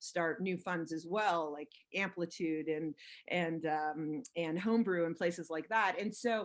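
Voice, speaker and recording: A plain, everyday voice with an American accent, moving at a moderate pace with fairly even intonation. The background is quiet. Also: woman. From Los Angeles, US. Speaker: venture capitalist. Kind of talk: interview. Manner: many fillers and restarts.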